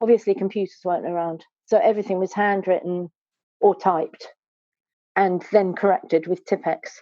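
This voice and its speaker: With a southern English accent, a woman speaks at a moderate pace with long, frequent pauses, her medium-pitched voice dark and mellow in tone. Her intonation is fairly even, and the sound is dry and close with no echo. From southwest London, England. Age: 60s. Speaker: stained glass artist. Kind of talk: casual interview chat. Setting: podcast interview.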